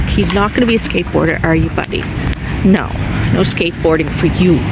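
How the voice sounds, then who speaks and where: A woman at a fairly quick pace, dry sound with no echo, loud background noise. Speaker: doll vlogger. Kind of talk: casual vlog chat. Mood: cheerful, relaxed. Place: waterside. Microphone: phone near.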